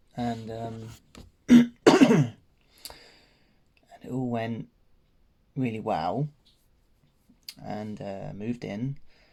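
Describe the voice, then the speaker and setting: Quiet and very slow, a man with an English accent speaks in a dark, mellow tone, keeping his intonation fairly even and pausing long and often. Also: medium pitch for a man. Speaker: vlogger. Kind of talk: personal vlog update. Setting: at home. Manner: hesitant, many ums.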